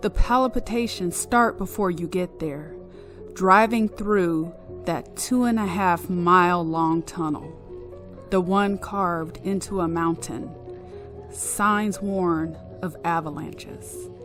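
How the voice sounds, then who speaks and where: Music is heard in the background. Over it, a woman speaks at a very slow pace. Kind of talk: ghost story reading.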